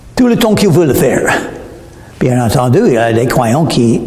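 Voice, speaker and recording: With noticeable background noise and audible room echo, a man speaks at a medium pitch with lively intonation. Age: 70s. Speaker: preacher. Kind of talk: sermon.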